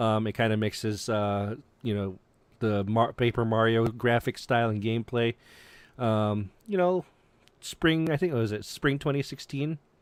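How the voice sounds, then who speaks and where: At a moderate pace, a normal speaking voice comes through in a very clean recording with a silent background and a dry, close sound with no echo. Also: man. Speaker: gaming podcast moderator. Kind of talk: casual chat.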